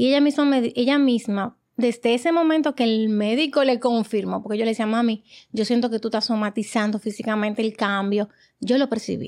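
At a moderate pace, a woman with a fairly high pitch speaks with fairly even intonation and very even loudness in a very clean recording with a silent background. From Dominican Republic. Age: 40s. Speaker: guest, emigrant mother. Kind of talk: casual chat.

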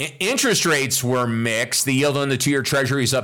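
The man's voice has a bright, sharp tone. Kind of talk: market news reading. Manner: brisk, matter-of-fact; formal, steady, number-heavy delivery.

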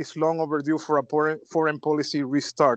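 Speaking with a Spanish accent at a moderate pace, a man with fairly high pitch is heard over a quiet background in a dry, close sound with no echo. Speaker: podcast host. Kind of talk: interview.

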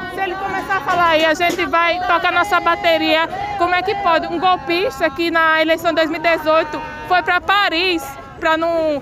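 Over crowd noise in the background, a woman with an extremely high pitch projects a raised voice in a monotone, flat intonation. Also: moderate pace. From Paraíba, Brazil. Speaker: protester, political activist. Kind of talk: street interview. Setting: outdoors at a street protest.

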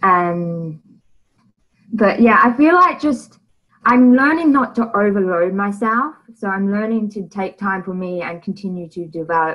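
The woman talks fairly slowly. Her pitch rises and falls in an ordinary way. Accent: Australian. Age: 20s. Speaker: guest sharing mental health story. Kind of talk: interview.

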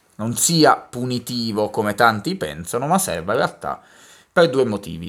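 A man speaks at a moderate pace and a medium pitch, with very wide swings in his pitch. The recording is very clean with a silent background. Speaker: podcast co-host. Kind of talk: casual chat.

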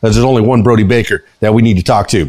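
With an American accent, this speaker delivers the words very rapidly. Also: man. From South Florida. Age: 50s. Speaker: podcast host and DJ. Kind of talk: casual interview chat. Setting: studio. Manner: animated.

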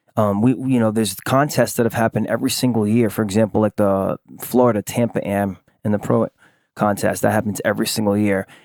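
A man speaks with an American accent at a moderate pace and a fairly low pitch. His intonation is fairly even, and the sound is dry and close, with no echo. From Rhode Island, US. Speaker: artist and small business owner. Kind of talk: interview. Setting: at home with dog present.

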